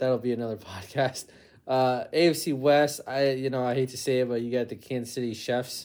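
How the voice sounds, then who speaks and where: A man talks with an ordinary speaking voice at medium pitch. He keeps a moderate pace and fairly even intonation. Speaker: podcast host. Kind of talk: casual interview chat. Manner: casual, chatty.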